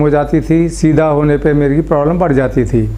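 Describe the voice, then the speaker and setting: Fairly high-pitched male speech, monotone and flat, at a moderate pace amid noticeable background noise and audible room echo. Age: 70s. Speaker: surgery patient. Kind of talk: testimony. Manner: halting.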